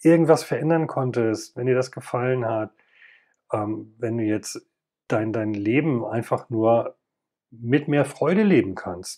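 Over a quiet background, a man speaks fairly slowly at a medium pitch with ordinary pitch variation. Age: 50s. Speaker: podcast host, former paramedic. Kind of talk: personal monologue.

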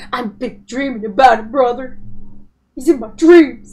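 A woman's put-on character voice, high in pitch, with big swings in loudness at a moderate pace. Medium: game stream. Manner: nervous, hesitant.

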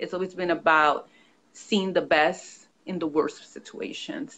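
A woman's plain, everyday voice with an American accent, fairly low in pitch, at a moderate pace with lively intonation. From New York. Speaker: author and consultant. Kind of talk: interview. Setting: video call.

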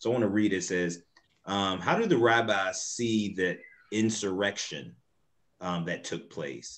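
A man with an American accent, fairly low in pitch with ordinary pitch variation, at a fairly slow pace. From US South. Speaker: moderator, nonprofit executive director; moderator. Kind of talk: panel discussion moderation. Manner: animated. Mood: earnest, engaged. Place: home room. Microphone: video call.

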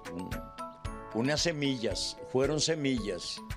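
Lively intonation from a man, with clear music in the background. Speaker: dental technician and poetry reciter. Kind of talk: casual talk in an interview answer. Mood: warm, expressive storytelling. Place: workshop. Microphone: handheld.

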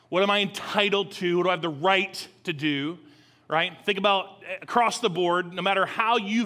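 Raised and projected, a man's voice has a bright, sharp tone, ordinary pitch variation and a moderate pace. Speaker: lead pastor. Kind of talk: sermon. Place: church.

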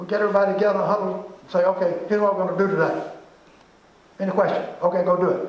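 In a room with audible echo, the speech comes at a very fast pace with monotone, flat intonation and big swings in loudness. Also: man, high pitch for a man. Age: 80s+. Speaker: management consultant; presenter. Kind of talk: lecture. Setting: stage with audience. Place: hall. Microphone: camera far.

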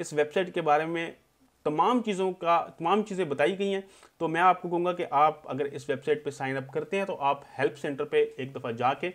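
With a Pakistani accent, a man speaks at a high pitch with ordinary pitch variation. His pace is moderate and the background is quiet. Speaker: tech YouTuber. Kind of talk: tutorial. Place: home room.

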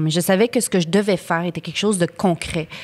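A woman speaking at a moderate pace. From Ottawa, Canada; Canada. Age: 30s. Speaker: actress. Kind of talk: casual chat. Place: studio. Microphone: studio mic.

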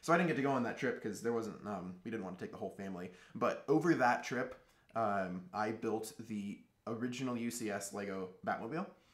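There is noticeable background noise behind a man speaking at a medium pitch. His pace is fairly quick and his intonation lively. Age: 20s. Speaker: Lego builder. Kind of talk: casual interview. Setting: studio.

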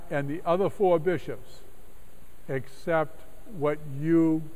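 Ordinary pitch variation from a man. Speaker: clergyman giving a lecture. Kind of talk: lecture. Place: church.

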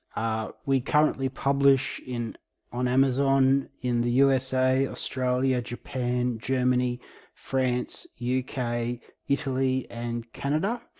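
A man speaks at a fairly slow pace in a medium pitch, his tone dark and mellow and his intonation flat and monotone. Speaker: ESL teacher and independent publisher. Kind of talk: casual talk to camera.

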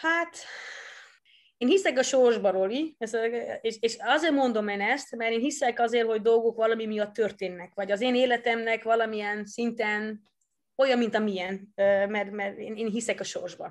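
With a Dutch accent, a woman speaks with long, frequent pauses over a quiet background. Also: fairly high pitch for a woman, ordinary pitch variation, moderate pace. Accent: Dutch-accented Hungarian. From Netherlands. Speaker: former judo athlete and coach. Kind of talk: interview. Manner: halting, repeats words.

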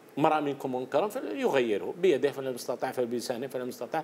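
Over light background noise, a man talks at a moderate pace with a fairly high pitch. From Algeria. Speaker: anti-corruption commentator. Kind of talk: TV panel discussion. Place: studio. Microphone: lapel.

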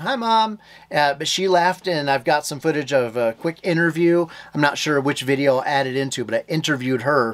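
A man at a moderate pace, his pitch varying in an ordinary way. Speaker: homestead vlogger. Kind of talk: casual vlog chat. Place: home room. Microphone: phone near.

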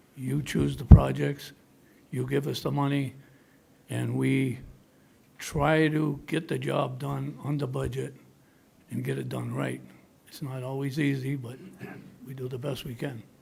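Pausing long and often, a man speaks at a fairly slow pace in audible room echo. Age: 80s+. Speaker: town commission applicant. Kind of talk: public meeting interview. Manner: halting.

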